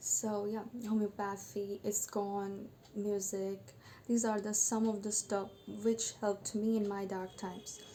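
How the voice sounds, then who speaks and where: A woman speaks at a fairly slow pace in a dark, mellow tone that is somewhat breathy. Her intonation stays flat and monotone. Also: medium pitch for a woman. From Bengal. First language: Bengali. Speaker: vlogger sharing personal story. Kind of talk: personal testimony monologue. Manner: halting, with fillers.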